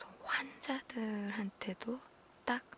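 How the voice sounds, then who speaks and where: The voice is whispering and soft-spoken. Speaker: ASMR streamer / content creator. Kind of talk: ASMR whisper chat, live-stream style talk to viewers. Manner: whispered, soft-spoken.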